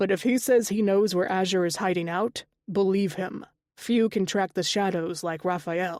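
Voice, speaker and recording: A woman's raspy, put-on character voice at medium pitch and moderate pace, on a very clean recording with a silent background. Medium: read story. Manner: playful.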